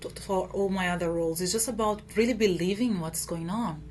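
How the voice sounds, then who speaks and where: In a Brazilian accent, a woman talks at a very fast pace, with audible room echo and noticeable background noise. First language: Portuguese. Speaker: actress. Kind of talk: interview. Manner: halting with fillers.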